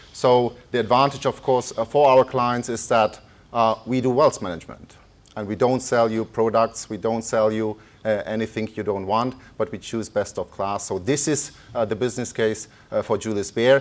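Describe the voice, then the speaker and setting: Speaking with a German accent, a man at medium pitch keeps a fairly even intonation. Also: moderate pace. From Germany. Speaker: economist. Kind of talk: lecture. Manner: halting.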